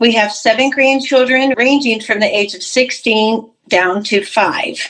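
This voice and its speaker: Here a woman speaks at a fairly slow pace. Her pitch is fairly high. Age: 60s. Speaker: cancer survivor, retired pastor. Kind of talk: testimony.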